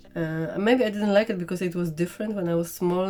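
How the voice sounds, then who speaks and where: Over music in the background, the speaker talks with a strong non-native accent. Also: woman. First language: not English. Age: 40s. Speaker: makeup vlogger. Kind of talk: casual makeup tutorial chat. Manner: halting, many fillers.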